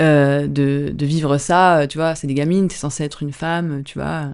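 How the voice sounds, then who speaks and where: Over a quiet background, a woman with a very deep, low pitch speaks in a calm tone at a moderate pace. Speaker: dancer and actor. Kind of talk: podcast interview. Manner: soft-spoken.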